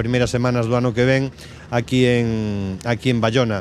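A man talks at a fairly quick pace in a monotone, flat manner. The sound is dry with no echo, and light background noise is present. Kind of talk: interview answer. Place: waterside. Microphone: handheld.

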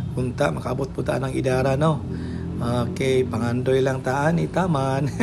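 Music in the background behind a man's fairly slow speech. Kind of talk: casual tutorial commentary. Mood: playful, joking. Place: shop. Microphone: phone near.

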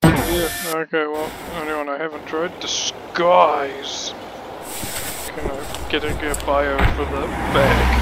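Very slow delivery with long, frequent pauses, a dry sound with no echo, and loud background noise. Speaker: gaming channel host. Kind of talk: casual gameplay commentary. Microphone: studio mic.

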